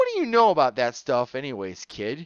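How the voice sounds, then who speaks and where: In a put-on character voice, a man talks at a fairly quick pace with very wide pitch swings. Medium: read story. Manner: brash.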